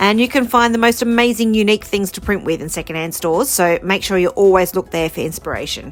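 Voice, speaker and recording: A woman with an Australian accent at a very fast pace, upbeat in tone, medium in pitch with ordinary variation. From Australia, rural New South Wales. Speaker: mixed media artist. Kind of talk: tutorial. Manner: casual, upbeat.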